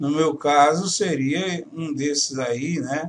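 At a very slow pace, a man speaks in a fairly high pitch with ordinary pitch variation. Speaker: home studio YouTuber teaching audio lessons. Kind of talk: casual vlog announcement to viewers. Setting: home studio. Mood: worried, disappointed. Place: home room.

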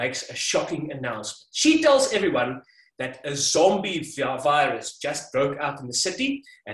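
Here a natural reading voice is heard.

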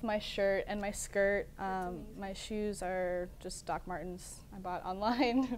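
A woman with an American accent talks at a very slow pace. Her loudness swings widely. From Kansas. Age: 20s. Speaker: college student; TV guest. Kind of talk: interview. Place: studio.

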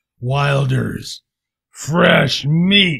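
Raspy and fairly high-pitched, a man performs a put-on character voice. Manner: menacing, predatory.

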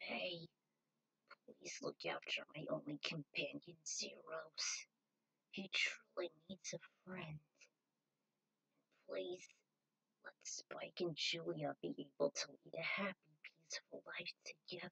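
A put-on character voice moves at a fairly slow pace, with long, frequent pauses. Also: woman. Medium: read story. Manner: pleading, tender.

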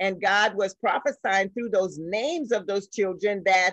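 The recording is dry with no echo and has a quiet background, with speech at a moderate pace. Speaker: guest teacher of a church women's group. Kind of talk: bible study lecture. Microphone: video call.

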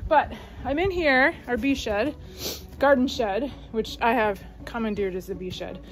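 A woman speaks at a moderate pace while faint music sits in the background. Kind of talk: casual vlog chat. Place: garage. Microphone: phone near.

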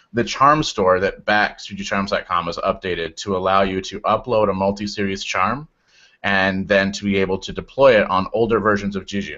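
A man with an unremarkable speaking voice and fairly even intonation. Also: fairly low pitch for a man, moderate pace. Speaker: software engineer. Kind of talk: casual tech discussion.

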